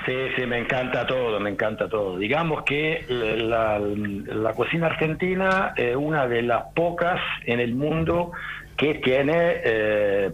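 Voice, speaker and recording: The speaker is a man with a medium pitch. Audible room echo and noticeable background noise accompany him. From Rome, Italy. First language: Italian (speaking Spanish). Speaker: diving centre owner. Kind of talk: casual radio interview. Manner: halting.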